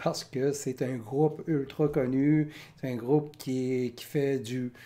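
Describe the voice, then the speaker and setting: A man speaks very slowly at a medium pitch, his tone dark and mellow. His intonation stays fairly even while his loudness swings widely. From Quebec. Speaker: music reaction youtuber. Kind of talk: casual commentary. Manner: hesitant, many fillers.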